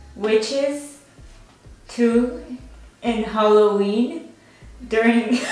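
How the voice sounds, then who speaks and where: A woman with a fairly high pitch speaks at a very slow pace, with long, frequent pauses and fairly even intonation. Music plays in the background, and the room echo is audible. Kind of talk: casual talk to camera, friendly banter. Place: home room.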